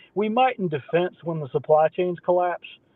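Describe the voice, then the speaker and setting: A man's high-pitched voice with an Appalachian accent at a fairly quick pace. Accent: Appalachian Southern American. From US South, southwest Virginia. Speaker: podcast host. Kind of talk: casual chat. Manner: animated.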